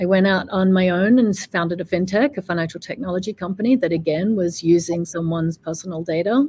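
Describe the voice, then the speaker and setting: Somewhat breathy, a woman speaks with a dark, mellow tone, a fairly low pitch and lively intonation. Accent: Australian. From Australia. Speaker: fintech executive. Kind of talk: interview.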